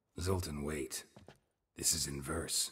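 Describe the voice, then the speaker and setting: A man in a put-on character voice, very deep and low-pitched. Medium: video game. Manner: terse, deadpan.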